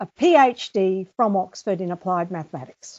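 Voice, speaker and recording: A woman speaks at a fairly slow pace with lively intonation in an ordinary speaking voice. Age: 60s. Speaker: author and teacher. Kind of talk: interview.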